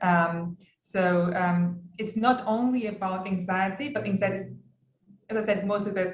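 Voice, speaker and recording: In a non-native accent, a woman speaks at a fairly slow pace and a medium pitch, somewhat breathy, with fairly even intonation. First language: not English. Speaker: clinical psychologist lecturer. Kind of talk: lecture. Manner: halting, many fillers.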